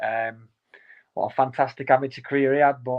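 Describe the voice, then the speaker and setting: In a Lancashire accent, a man talks at a very fast pace and a medium pitch. His intonation is monotone and flat. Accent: Wigan. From Wigan, northern England. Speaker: professional boxer. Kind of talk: interview.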